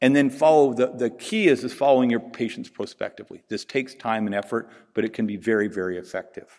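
Talking at a very fast pace with a Pacific Northwest accent, this man has a medium pitch and ordinary pitch variation. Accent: Pacific Northwest American. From US Pacific Northwest. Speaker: veterinary researcher and conference speaker. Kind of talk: conference lecture. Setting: conference stage with audience. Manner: informal, humorous.

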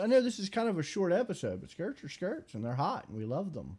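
A man speaks at a very fast pace with a dark, mellow tone. His pitch swings very widely. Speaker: podcast host. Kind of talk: casual banter podcast. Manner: joking.

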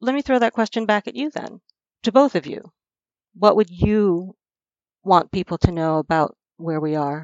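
A woman talks at a moderate pace with a medium pitch and lively intonation. She leaves long, frequent pauses. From US, moved from South Africa at age five. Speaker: knowledge management professional. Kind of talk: podcast interview, serious discussion. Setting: remote recording from home.

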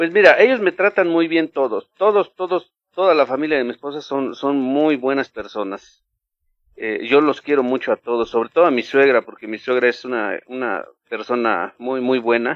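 Speaking with a Mexican accent, a man uses a fairly high pitch and lively intonation at a moderate pace. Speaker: former church member. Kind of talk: interview.

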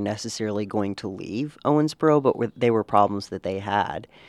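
This man has an unremarkable speaking voice, medium in pitch with ordinary pitch variation, moving at a moderate pace against a quiet background in a dry, close sound with no echo. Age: 20s. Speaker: newspaper reporter. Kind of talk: casual chat.

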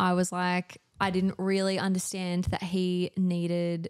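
With an Australian accent, a woman talks at a medium pitch in a flat monotone, her voice dry and close with no echo over a silent background in a very clean recording. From Australia, Newcastle NSW. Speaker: community organiser, mother. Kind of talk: casual chat. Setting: home studio.

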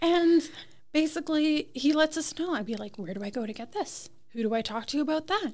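A woman's high voice, lively intonation, fairly quick pace. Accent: Ontario. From Toronto, Canada. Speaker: cottage and restaurant owner. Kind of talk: interview. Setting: on location on a main street.

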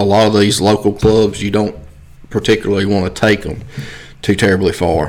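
With a Mississippi accent, a man speaks at a fairly low pitch. His intonation is monotone and flat. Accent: Southern US (Mississippi). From US South, Mississippi. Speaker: coon hunting club manager. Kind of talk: casual interview.

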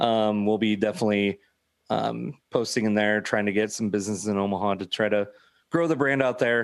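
Against a quiet background, a man with an unremarkable speaking voice talks fairly quickly at a fairly low pitch with fairly even intonation. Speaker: food truck owner. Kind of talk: casual chat. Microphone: good mic, headphones.

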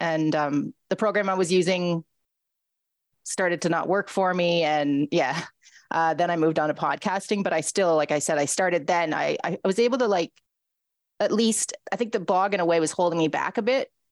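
A woman with an unremarkable speaking voice, fairly low pitch, ordinary pitch variation and very even loudness, at a moderate pace, in a dry, close sound with no echo. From Ontario, Canada. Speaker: radio host and writer. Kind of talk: casual interview.

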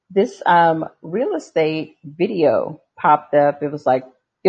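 A woman's voice with a very deep, low pitch. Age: 50s. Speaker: real estate wholesaler and former life coach. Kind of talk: casual chat.

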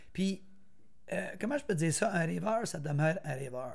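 Intonation rises and falls in a lively way. The tempo is fairly quick. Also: man. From Quebec, Argenteuil (Brownsburg). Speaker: former runner and motivational speaker. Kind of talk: interview, personal life story.

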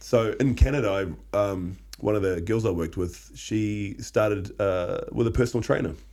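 A man with a fairly low pitch and a dark, mellow tone talks at a moderate pace with ordinary pitch variation and hardly any pauses. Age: 30s. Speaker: podcast co-host. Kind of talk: casual chat.

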